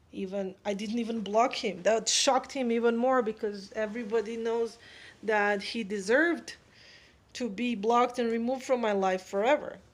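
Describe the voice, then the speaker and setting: A woman's fairly high voice with a non-native accent, moderate pace and fairly even intonation, on a very clean recording with a silent background. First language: not English. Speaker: spiritual advice vlogger. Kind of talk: casual monologue.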